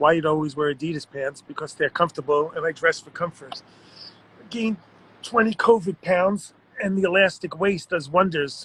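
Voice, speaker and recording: A man speaks with a Long Island accent at a moderate pace. His pitch is high for a man, with ordinary pitch variation. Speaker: art world writer and personality. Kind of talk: live-stream chat reading viewer comments. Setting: Instagram live stream, guest dropped out. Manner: casual, self-deprecating.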